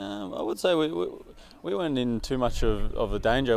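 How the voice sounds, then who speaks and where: A man is speaking. He has an Australian accent. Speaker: professional footballer. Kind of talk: press interview. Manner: halting, many repetitions and fillers.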